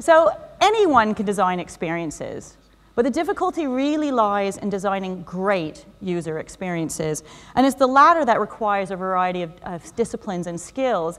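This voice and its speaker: A woman talks at a fairly quick pace with a Canadian accent. Her pitch is medium. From Canada. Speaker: UX design director, conference speaker. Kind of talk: conference talk. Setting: stage with audience. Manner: fast; animated.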